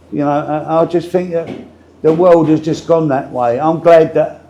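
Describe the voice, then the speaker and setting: Speaking in a Cockney accent, a man with a fairly high pitch and a dark, mellow tone keeps a moderate pace. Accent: East London Cockney. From London, Walthamstow (east London). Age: 70s. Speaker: retired boxer and former pub landlord. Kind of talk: casual interview chat.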